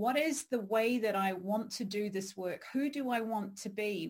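A woman talks at a moderate pace with medium pitch. Her voice is somewhat breathy. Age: 40s. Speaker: podcast host and career coach. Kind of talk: interview.

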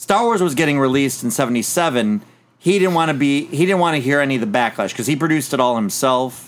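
In an ordinary speaking voice, a man talks at a fairly quick pace with fairly high pitch, very even loudness and lively intonation. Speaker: podcast host. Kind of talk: casual chat.

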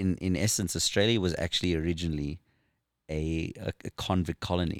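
With a South African accent, a man speaks at a moderate pace in a very deep, low voice, his intonation fairly even. The recording is very clean, with a silent background and a dry, close sound with no echo. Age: 40s. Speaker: former professional motorcycle racer. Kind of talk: casual chat. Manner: joking.

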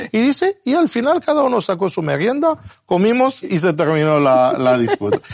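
A man with an Argentine accent talks at a moderate pace in a high pitch, his loudness very even. His pitch swings very widely. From abroad, non-Spanish-speaking country. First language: not Spanish (speaking Spanish). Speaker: Bible teacher. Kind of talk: Bible study discussion. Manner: halting.

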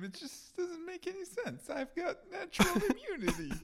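A put-on character voice, extremely high and whiny, at a moderate pace, with clear background noise. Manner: ranting, tearful.

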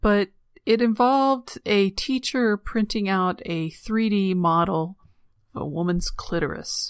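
A woman's medium-pitched voice, an ordinary speaking voice, fairly slow with ordinary pitch variation, on a very clean recording with a silent background. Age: 40s. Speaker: podcast host. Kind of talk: solo monologue.

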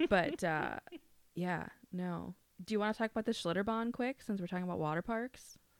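A woman speaks fairly quickly in a Minnesotan accent, her pitch medium with ordinary variation. The recording is very clean and dry, close with no echo, over a silent background. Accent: Minnesotan, moderate. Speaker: podcast co-host. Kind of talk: casual chat.

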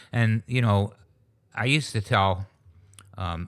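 An unremarkable speaking voice from a man with an American accent, fairly low pitch and ordinary pitch variation, on a very clean recording with a silent background. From western New York, US. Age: 60s. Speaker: retired business founder and charity founder. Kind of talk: casual interview.

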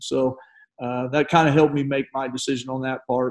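A man speaks at a moderate pace with a Texan accent. His tone is dark and mellow. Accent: Texan American. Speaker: retired high school basketball coach. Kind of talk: casual interview chat.

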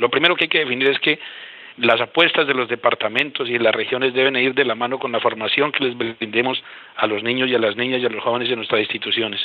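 Intonation stays mostly level from this man. He talks very fast. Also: medium pitch for a man. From Colombia, Boyacá. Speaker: regional education official. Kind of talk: panel discussion. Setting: phone call.

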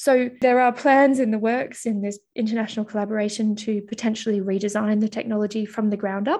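Speaking at a fairly quick pace with hardly any pauses, a woman with an Australian accent has a fairly high pitch, a dark, mellow tone and monotone, flat intonation. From Australia (Mildura, then Melbourne). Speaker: accelerator physicist. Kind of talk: interview.

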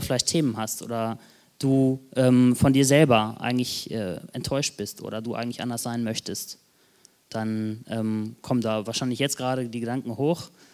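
Someone speaks at a moderate pace with ordinary pitch variation. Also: man. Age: 20s. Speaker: lay preacher. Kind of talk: sermon. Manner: hesitant, many fillers.

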